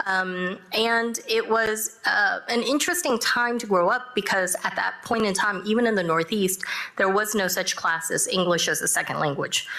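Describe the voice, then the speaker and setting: Very even loudness at a moderate pace, in a Korean accent, over noticeable background noise. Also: woman, fairly high pitch for a woman, ordinary pitch variation. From Texas (Dallas area), born in South Korea. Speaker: judge. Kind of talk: panel discussion. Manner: halting, many fillers.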